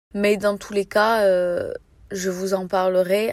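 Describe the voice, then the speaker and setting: A woman speaks at a medium pitch in a monotone, flat delivery, recorded dry and close with no echo. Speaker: book podcaster. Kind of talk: reading vlog, casual monologue.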